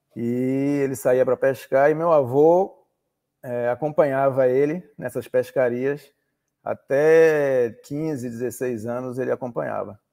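Against a quiet background, a man with a dark, mellow tone speaks at a very slow pace. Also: fairly even intonation. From Salvador, Bahia, Brazil; Bahia, Brazil. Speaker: oceanographer and maritime pilot; interview guest. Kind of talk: interview. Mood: relaxed, reminiscing. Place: home room. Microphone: video call.

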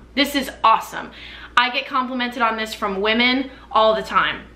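Speaking at a moderate pace, a woman has a fairly high pitch and an American accent. Audible room echo surrounds her voice. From US Midwest, Chicago suburbs; Illinois. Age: 20s. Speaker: YouTuber and performer; YouTuber. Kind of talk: casual chat to camera, product reviews. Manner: animated. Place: home room. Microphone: camera far.

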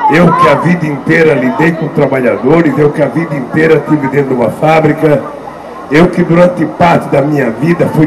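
A man keeps a moderate pace as noticeable background noise continues behind him. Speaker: politician addressing rally. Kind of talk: political speech. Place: stage. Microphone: handheld.

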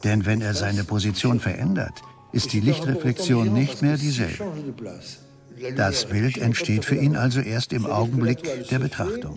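Over music in the background, a man speaks at a fairly slow pace with a medium pitch. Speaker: voice-over translator for the painter. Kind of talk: interview answer. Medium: dub.

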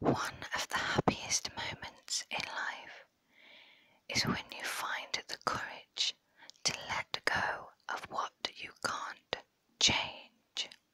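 Whispering at a very slow pace, a woman speaks. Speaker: ASMR creator. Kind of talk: ASMR whispering, reading quotes. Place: home room. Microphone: lapel.

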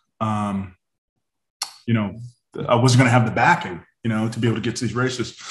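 With an American accent, a man talks at a medium pitch with fairly even intonation, with audible room echo and a quiet background. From Northern California. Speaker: former BMX racer; podcast guest. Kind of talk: casual chat. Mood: relaxed, friendly. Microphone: video call.

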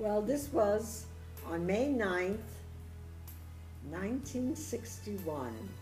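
A woman speaking at a very slow pace, with faint music in the background. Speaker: grandmother telling family story. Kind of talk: personal storytelling to camera. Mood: warm, fond reminiscing. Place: home room. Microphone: phone near.

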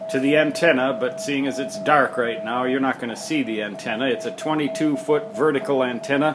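A man's lively intonation at a moderate pace, with noticeable background noise. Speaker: amateur radio operator. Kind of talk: casual home tour narration. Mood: wry, self-deprecating humor. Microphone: phone near.

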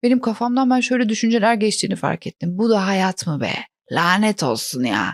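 A woman's normal speaking voice at medium pitch, lively in intonation, at a moderate pace. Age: 40s. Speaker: comedian. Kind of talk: casual chat; scripted narration.

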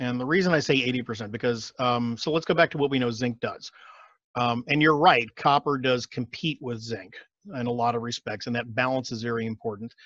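A man with an American accent speaks fairly quickly in a plain, everyday voice with ordinary pitch variation. The background is quiet. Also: medium pitch for a man, dry sound with no echo. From Texas, Austin; Texas. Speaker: functional medicine doctor; guest. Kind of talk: casual interview. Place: home room. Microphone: headset.

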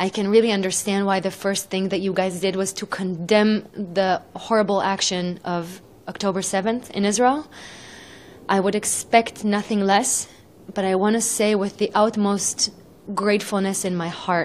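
A woman speaks at a moderate pace. Her intonation stays monotone and flat. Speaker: interviewee. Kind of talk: interview answer. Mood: earnest, grateful, emotional. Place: home room. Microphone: handheld.

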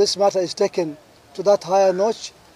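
Here a man speaks in a high voice. The sound is dry, with no echo. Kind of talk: press statement. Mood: serious, urgent appeal. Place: garden. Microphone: podium.

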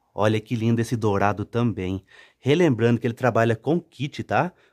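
A man's medium-pitched, animated, upbeat voice at a moderate pace with ordinary pitch variation, dry and close with no echo, on a very clean recording with a silent background. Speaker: street market sales channel host. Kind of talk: sales pitch. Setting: showing products on camera, vlog. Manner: animated, upbeat pitchman patter; repeats 'olha que top' and 'tá?' constantly.

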